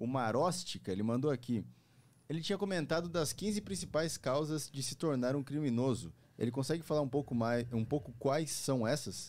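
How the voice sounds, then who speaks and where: The intonation is lively. A man keeps to a moderate pace. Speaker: podcast co-host. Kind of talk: casual chat. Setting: studio. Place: studio. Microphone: studio mic.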